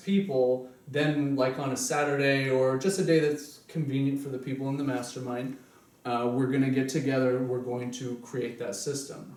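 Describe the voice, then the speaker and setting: Noticeable background noise and audible room echo surround the voice. The intonation stays fairly even. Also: man. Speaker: self-help seminar presenter. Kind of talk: seminar talk. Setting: small group meeting at home.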